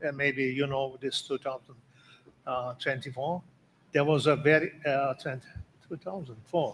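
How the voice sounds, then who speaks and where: With a Turkish accent, a man of fairly high pitch speaks somewhat breathily, leaving long, frequent pauses. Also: moderate pace. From Turkey. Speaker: conference organizer. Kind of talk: conference speech. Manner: halting.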